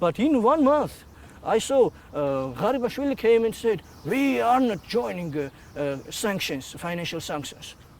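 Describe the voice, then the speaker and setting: A man speaks with a Georgian accent at a high pitch. His moderate pace carries very wide pitch swings. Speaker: activist. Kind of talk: interview. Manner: halting, many hesitations.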